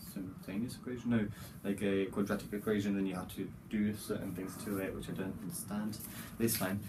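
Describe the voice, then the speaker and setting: Fairly low in pitch, a man talks at a fairly quick pace with fairly even intonation and a dark, mellow, somewhat breathy tone. Room echo is audible. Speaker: vlogger, university student. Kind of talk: casual vlog talk.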